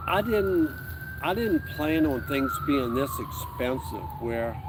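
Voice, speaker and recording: A man speaks at a fairly slow pace with very wide pitch swings. Audible room echo and noticeable background noise surround him. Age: 60s. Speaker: retiree, outdoors YouTuber. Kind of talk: casual chat. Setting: outdoors, camping in woods.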